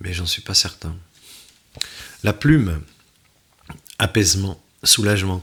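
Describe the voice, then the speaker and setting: A man with a fairly low pitch at a very slow pace. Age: 60s. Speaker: tarot card reader. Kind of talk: card reading forecast. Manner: halting.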